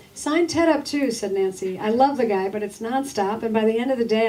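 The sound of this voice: The reading voice is unforced. It does not strain.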